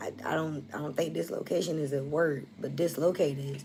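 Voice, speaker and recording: Audible room echo surrounds a woman speaking with a very deep, low pitch. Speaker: tarot reader. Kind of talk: collective tarot reading. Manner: casual, conversational.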